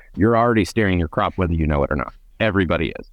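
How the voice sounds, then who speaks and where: With an American accent, a man's very deep, low pitch comes through in a dry, close sound with no echo over a quiet background. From California Central Valley. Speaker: agriculture expert, company co-founder. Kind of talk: interview, technical casual chat.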